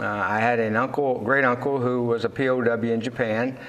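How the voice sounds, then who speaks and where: A man with a Texan accent talks at a moderate pace. There is audible room echo and music in the background. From Texas, raised west of Fort Worth. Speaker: Navy veteran and cattle farmer. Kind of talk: interview. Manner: halting, many fillers.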